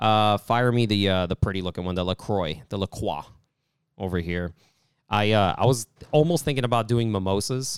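Recorded very cleanly against a silent background, with a dry, close sound and no echo, a man speaks at a fairly low pitch with a New York accent. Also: ordinary pitch variation, moderate pace. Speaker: comedian. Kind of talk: casual chat.

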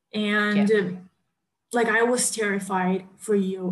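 This woman speaks in a Portuguese accent. Her pitch is fairly high and her intonation fairly even. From Brazil. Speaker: podcast host. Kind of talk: casual chat.

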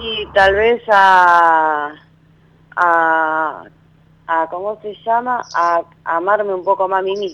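At a very slow pace, a woman with a medium pitch and ordinary pitch variation speaks with long, frequent pauses. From Argentina, Santa Fe. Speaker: caller, masseuse. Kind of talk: phone-in consultation. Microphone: too quiet.

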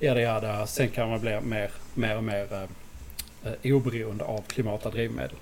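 Speaking at a fairly slow pace, a man with a fairly low pitch and vocal fry uses ordinary pitch variation, with audible room echo around him. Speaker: podcast co-host. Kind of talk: casual chat.

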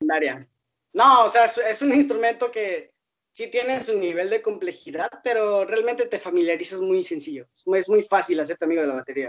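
Speaking at a moderate pace, a man with a high pitch swings very widely up and down. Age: 20s. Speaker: rapper. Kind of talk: interview.

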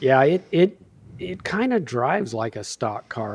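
Against a quiet background, a man with an ordinary speaking voice talks at a medium pitch and a fairly slow pace. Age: middle-aged. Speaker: sim racer. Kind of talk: casual chat.

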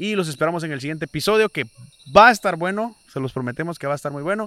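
A man talks very fast in a raised, projected voice with a bright, sharp tone and very wide pitch swings, the sound dry and close with no echo. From Guatemala. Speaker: podcast host. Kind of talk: casual chat. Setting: outdoors.

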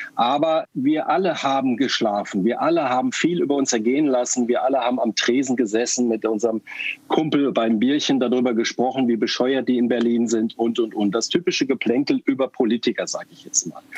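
Here is a man with an unremarkable speaking voice. He moves at a fairly quick pace with ordinary pitch variation. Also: medium pitch for a man. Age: 50s. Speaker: party board member. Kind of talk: interview.

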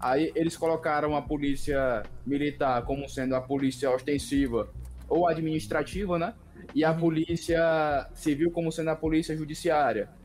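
The voice moves at a moderate pace with fairly even intonation and very even loudness. Music plays in the background. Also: man, fairly high pitch for a man. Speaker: police officer. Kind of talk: casual chat.

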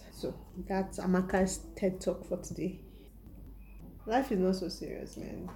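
A woman with a medium pitch talks at a moderate pace amid noticeable background noise. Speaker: podcast host. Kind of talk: casual monologue.

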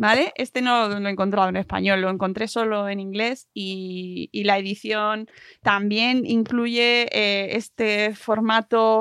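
Heard in a dry, close sound with no echo, a woman with a fairly high pitch has a normal speaking voice. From Madrid region, Spain. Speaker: podcast host. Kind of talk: casual chat.

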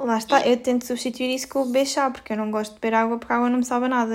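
Her voice high-pitched, a woman speaks at a very fast pace with monotone, flat intonation. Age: 30s. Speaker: podcast co-host, clinician. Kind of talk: casual chat. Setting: video call.

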